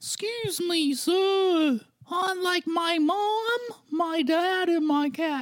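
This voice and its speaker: A put-on character voice at an extremely high pitch and very slow pace. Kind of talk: polite, formal. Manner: polite, formal.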